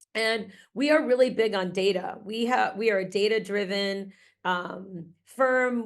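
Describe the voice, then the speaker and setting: A woman speaks with a slight Massachusetts accent. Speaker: grant writing consultant and researcher. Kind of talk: webinar presentation. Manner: casual, with frequent fillers.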